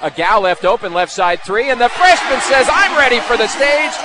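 A raised, projected voice with lively intonation and an animated tone comes through over noticeable background noise. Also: man. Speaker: sports commentator. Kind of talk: live basketball play-by-play commentary. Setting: game broadcast over highlight video. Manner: fast, animated, excitable play-by-play delivery; rapid-fire, clipped calls of each possession.

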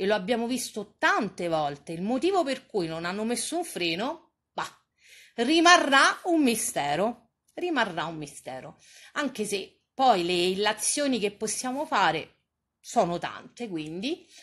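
A woman speaks fairly slowly in a fairly high pitch, animated and with very wide pitch swings, against a quiet background. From Rome. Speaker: online streamer and TV gossip commentator. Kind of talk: casual live-stream chat.

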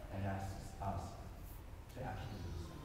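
Amid noticeable background noise and strong room echo, a man speaks at a moderate pace. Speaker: worship leader or pastor. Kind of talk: scripture reading and sermon-style prayer. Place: church.

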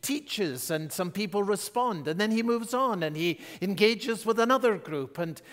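With hardly any pauses, a man keeps up a moderate pace. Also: quiet background. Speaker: pastor. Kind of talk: sermon. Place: church. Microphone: headset.

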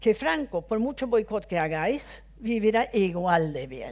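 A woman talks at a fairly slow pace with vocal fry. Her pitch swings very widely. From Sweden. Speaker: former MEP, widow of victim; guest. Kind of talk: off-the-cuff speech. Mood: earnest, reflective. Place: hall. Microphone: headset.

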